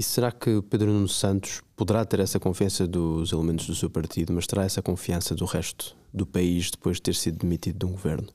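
In a very deep, low pitch and a dark, mellow tone, a man speaks at a fairly quick pace with a European Portuguese accent, hardly any pauses and very even loudness, on a very clean recording with a silent background. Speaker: podcast host. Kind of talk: interview.

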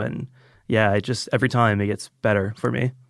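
In a very clean recording with a silent background, a man with an American accent talks fairly quickly in a normal speaking voice, fairly low in pitch. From Georgia, US (Roswell, Atlanta area). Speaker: audio engineer and film buff. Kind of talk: casual chat. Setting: studio.

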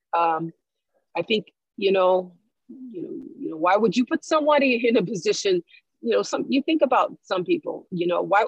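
A woman's fairly high, somewhat breathy voice swings very widely in pitch at a moderate pace, with long, frequent pauses. The sound is dry and close, without echo. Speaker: guest, educator. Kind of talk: casual discussion podcast.

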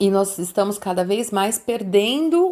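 Speaking at a fairly slow pace, a woman has medium pitch and an unremarkable speaking voice. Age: 50s. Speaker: entrepreneur, emotional intelligence coach. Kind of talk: interview, life story.

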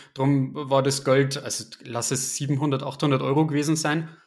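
A man speaks with a fairly high pitch and a somewhat breathy quality. His intonation is monotone and flat. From Bavaria, Upper Palatinate near Regensburg. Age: 20s. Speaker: private investor, IT worker. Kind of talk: casual interview chat.

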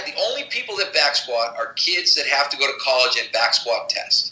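Against noticeable background noise, a man talks at a moderate pace with hardly any pauses. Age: 50s. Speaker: strength and conditioning coach. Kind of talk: interview.

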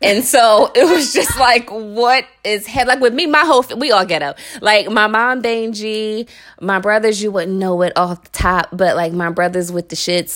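With an American accent and lively intonation, a woman speaks at a moderate pace and fairly high pitch, her loudness swinging widely over noticeable background noise. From Philadelphia, North Philly. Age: 30s. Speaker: podcast co-host. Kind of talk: casual chat.

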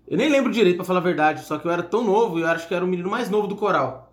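Noticeable background noise sits under speech whose pitch varies in an ordinary way. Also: man. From São Paulo state, Brazil (São José dos Campos). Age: 30s. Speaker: entrepreneur and singer. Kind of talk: casual chat.

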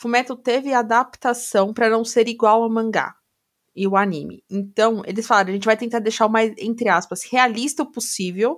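On a very clean recording with a silent background, a woman speaks in a normal speaking voice, fairly high in pitch, at a fairly quick pace with ordinary pitch variation. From Brazil. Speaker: podcast co-host. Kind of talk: casual chat.

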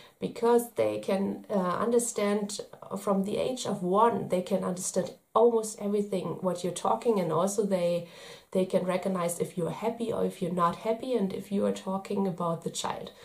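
A woman talks at a moderate pace with a medium pitch. Her intonation stays fairly even, with vocal fry. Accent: German. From Germany. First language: German. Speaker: parenting vlogger. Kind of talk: video tips monologue. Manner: hesitant, many fillers.

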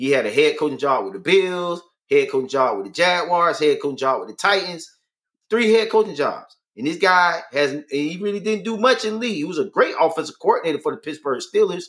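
A loud man with a high pitch talks at a fairly quick pace. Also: lively intonation. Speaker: sports podcast co-host. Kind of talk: casual sports talk live stream.

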